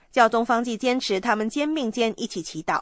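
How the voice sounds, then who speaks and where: A woman's unremarkable speaking voice, fairly high in pitch, at a moderate pace, with a dry, close sound with no echo and a quiet background. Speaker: news announcer. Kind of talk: news reading. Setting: studio. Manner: formal.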